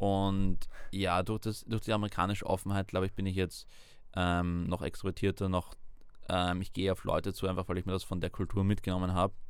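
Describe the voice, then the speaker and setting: Recorded very cleanly against a silent background, a man with a very deep, low voice speaks at a fairly quick pace in a flat monotone. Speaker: university student. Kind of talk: interview.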